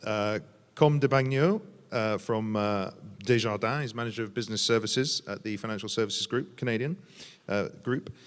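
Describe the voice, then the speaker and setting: Speaking with a British accent, a man uses a medium pitch and ordinary pitch variation at a moderate pace. The recording is very clean, with a silent background. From Britain. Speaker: journalist and panel moderator. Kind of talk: panel moderation. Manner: hesitant, many fillers.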